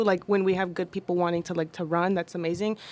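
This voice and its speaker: Fairly quick speech in a Spanish accent. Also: woman. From United States, child of immigrants. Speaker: labor organizer and social media creator. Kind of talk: casual panel discussion.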